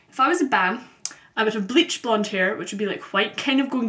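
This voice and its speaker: A woman at a very fast pace with lively intonation, amid noticeable background noise. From Scotland, Glasgow. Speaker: vlogger. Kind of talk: casual vlog monologue. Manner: frequent ums, conversational.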